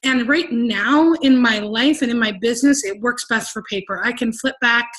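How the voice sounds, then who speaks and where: This woman's voice is high-pitched. It shows ordinary pitch variation. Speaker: team coach sharing business tips. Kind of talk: training presentation. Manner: fast.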